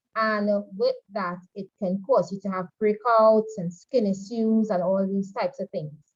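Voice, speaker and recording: A woman speaks in a fairly high pitch at a moderate pace. Her voice is somewhat breathy. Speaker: makeup artistry instructor. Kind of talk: online class lecture.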